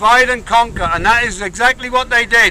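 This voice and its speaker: A man speaks in a raised, projected voice at an extremely high pitch, with noticeable background noise behind him. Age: 60s. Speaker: protest speaker. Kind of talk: rally speech. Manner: impassioned.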